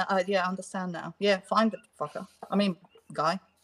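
A woman with a non-native accent talks very fast at a medium pitch, the sound dry and close with no echo. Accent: foreign. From Britain. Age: 40s. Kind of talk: casual chat.

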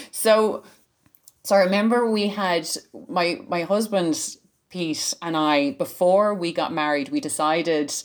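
A woman with a normal speaking voice has a fairly low pitch and lively intonation. The recording is very clean, with a silent background. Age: 40s. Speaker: learning specialist and science communicator. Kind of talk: casual interview.

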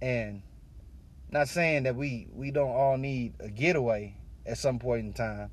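A man speaks at a medium pitch. Room echo is audible in the recording. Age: 30s. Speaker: podcast host. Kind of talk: personal reflection monologue. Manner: casual, filler-heavy, repetitive.

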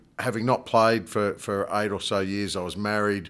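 In an Australian accent, a man speaks with a fairly low pitch and monotone, flat intonation on a very clean recording with a silent background. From Australia, north coast of New South Wales. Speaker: rugby club president. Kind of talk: casual interview.

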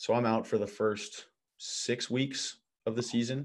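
In a US Midwestern accent, the voice moves at a moderate pace with fairly even intonation. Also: man. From US Midwest (Illinois). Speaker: professional volleyball player. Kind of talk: casual interview chat.

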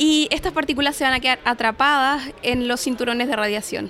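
At a moderate pace, a woman speaks in a high pitch with a bright, sharp tone and ordinary pitch variation. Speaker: space physics researcher. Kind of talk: interview. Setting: conference.

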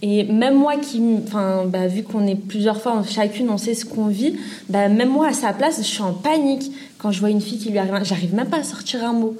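In a room with audible echo and noticeable background noise, a woman with a fairly high pitch speaks at a fairly quick pace with ordinary pitch variation. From Paris suburbs. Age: 20s. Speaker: student sharing experience. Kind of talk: testimony.

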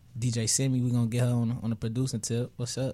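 Speaking in a monotone, flat intonation, a man of medium pitch has a dark, mellow tone. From Chicago, Morgan Park, South Side. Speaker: rapper. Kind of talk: interview. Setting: studio. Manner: laid-back.

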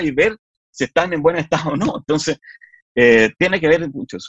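Speaking with a Chilean accent, a man keeps a fairly quick pace. His intonation is lively. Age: 40s. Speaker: politician. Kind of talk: interview. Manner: halting.

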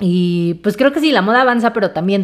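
A woman talks at a moderate pace with a medium pitch. Her intonation is lively. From Mexico City. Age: 20s. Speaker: podcast host. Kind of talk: solo casual monologue. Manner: chatty, many filler words.

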